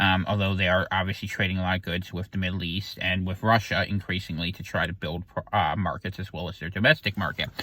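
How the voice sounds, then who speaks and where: A man with a bright, sharp tone talks at a fairly quick pace on a very clean recording with a silent background. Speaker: political commentator. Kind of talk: casual monologue. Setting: in a parked car. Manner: fast.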